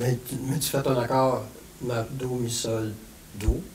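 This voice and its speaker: A man speaks at a very slow pace. Light background noise is present. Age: 70s. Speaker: musician; guest. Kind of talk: casual chat. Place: classroom.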